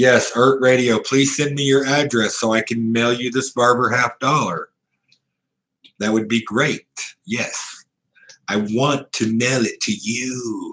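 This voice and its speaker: A man talks at a fairly slow pace. His pitch is medium. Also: fairly even intonation. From US South, Ozark Mountains. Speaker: live streamer, coin collector. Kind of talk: casual live-stream chat. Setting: motel room.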